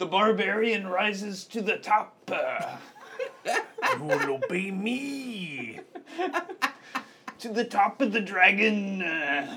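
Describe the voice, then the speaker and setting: A put-on character voice at a fairly high pitch and a very slow pace. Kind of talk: over-the-top, theatrical. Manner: bombastic, shouting, enraged.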